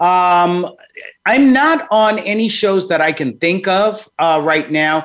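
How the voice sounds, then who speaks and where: Speaking with a New York accent, a man talks at a high pitch with ordinary pitch variation. His pace is very slow. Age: 60s. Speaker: psychologist. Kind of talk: interview.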